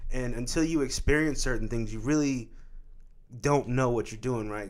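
A man talks in an unremarkable speaking voice, his medium pitch varying in an ordinary way. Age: 20s. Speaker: podcast host. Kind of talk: casual chat.

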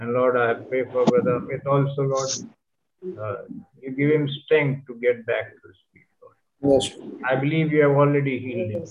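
Pausing long and often, a man with a fairly high voice speaks at a moderate pace with fairly even intonation and big swings in loudness. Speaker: congregation member praying. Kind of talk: fervent extemporaneous prayer in English. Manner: earnest, repetitive, pleading, with rhythmic 'Lord' refrain.

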